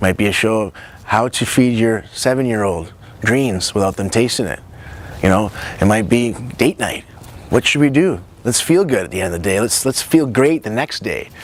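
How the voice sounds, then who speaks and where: A man's medium-pitched voice with lively intonation, long and frequent pauses, and noticeable background noise. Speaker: nutritionist and show host. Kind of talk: personal introduction to camera. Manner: fast; animated.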